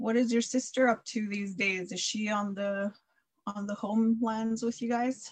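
A woman speaks at a moderate pace in a fairly high, somewhat breathy voice. Her intonation is monotone and flat. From Saskatchewan, Canada (First Nations). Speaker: podcast co-host. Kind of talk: casual interview.

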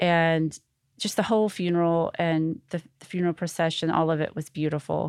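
A woman speaks in an American accent at a moderate pace, her fairly low voice held to a flat monotone. The recording is very clean with a silent background, and the sound is dry and close with no echo. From US South, Arkansas (North Little Rock). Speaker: gold star family member. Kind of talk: interview testimony.

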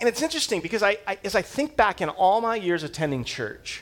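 A man's high-pitched voice at a fast pace, full of big pitch swings. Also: fairly bright tone.

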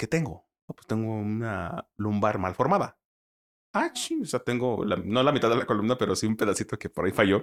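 Here is a man with an ordinary speaking voice at a medium pitch, talking at a fairly quick pace. His loudness swings a lot, and the sound is dry and close with no echo. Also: ordinary pitch variation. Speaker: sports commentator. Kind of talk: casual chat.

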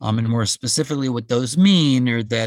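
Speaking at a moderate pace, a man with a plain, everyday voice keeps a medium pitch and ordinary pitch variation over a very clean recording with a silent background. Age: 60s. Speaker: physician. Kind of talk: interview.

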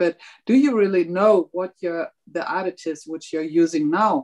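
A woman with a normal speaking voice and medium pitch uses lively intonation, recorded with a dry, close sound with no echo. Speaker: politician. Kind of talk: panel discussion. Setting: video call.

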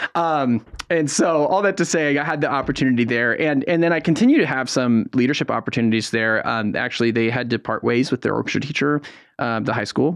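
A man talks at a very fast pace with an American accent. His pitch is medium, with ordinary variation. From San Francisco Bay Area, California. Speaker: youth orchestra executive director. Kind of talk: radio interview.

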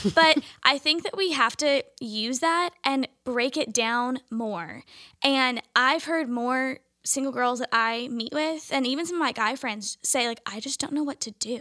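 A woman's raised, projected voice, high in pitch with a bright, sharp tone and ordinary pitch variation, in an American accent at a fairly slow pace, with a dry, close sound with no echo on a very clean recording with a silent background. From California, Orange County. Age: 20s. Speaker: primary school teacher. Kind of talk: casual panel discussion.

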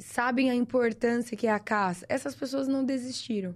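Ordinary pitch variation marks a woman's fairly slow delivery. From Brazil, São Paulo interior (Sertãozinho). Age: 20s. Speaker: lawyer and shooting instructor. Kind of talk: casual chat.

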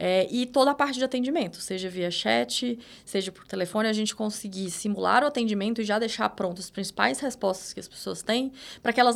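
A woman's fairly high voice at a very fast pace. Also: very clean recording, silent background. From Minas Gerais countryside, Brazil. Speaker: data manager. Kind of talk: interview.

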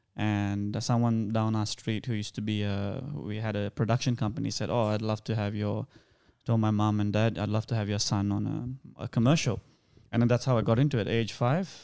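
A man with a Sri Lankan accent speaks quickly, at a fairly low pitch with fairly even intonation. His tone is dark and mellow, and the recording is very clean with a silent background. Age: 30s. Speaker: actor. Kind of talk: casual interview chat.

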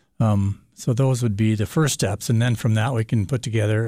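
A man's fairly low, somewhat breathy voice with a dark, mellow tone and an American accent, fairly even intonation at a moderate pace, on a very clean recording with a silent background. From Montana. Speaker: solar energy business owner. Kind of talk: radio interview. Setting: radio studio. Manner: hesitant, many fillers.

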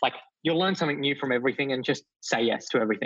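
Fairly high in pitch, a man with an Australian accent speaks with fairly even intonation. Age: 20s. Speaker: youth entrepreneur. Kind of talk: interview.

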